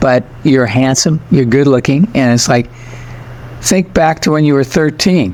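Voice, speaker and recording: A man with an American accent speaks at a fairly slow pace in a fairly high pitch, his loudness very even and his pitch varying in an ordinary way, over noticeable background noise. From United States. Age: 80s+. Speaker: spiritual teacher. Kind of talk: podcast interview.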